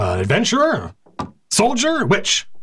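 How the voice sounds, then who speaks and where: Using a put-on character voice, a man talks at a fairly slow pace with a high pitch. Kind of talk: fantasy tavern role-play. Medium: actual play. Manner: archaic, formal speech.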